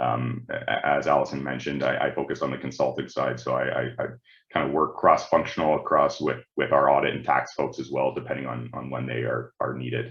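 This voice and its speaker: A man talks at a fairly quick pace. He has a strong Canadian accent. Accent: thick Canadian. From Canada, Ontario. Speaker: management consultant. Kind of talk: webinar presentation. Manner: halting, many repeated words and fillers.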